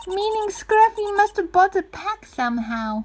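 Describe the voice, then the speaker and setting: Putting on a squeaky character voice, a woman speaks at an extremely high pitch with lively intonation and a moderate pace. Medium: game stream. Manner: haughty, condescending.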